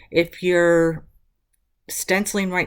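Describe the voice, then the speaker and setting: A woman speaks at a fairly low pitch. The recording is very clean, with a silent background. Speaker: mixed media art tutorial youtuber. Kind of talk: craft tutorial. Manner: animated.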